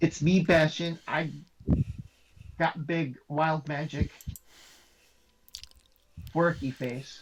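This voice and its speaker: This put-on character voice is booming and middle-pitched, moving at a very slow pace with long, frequent pauses. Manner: playful, boastful.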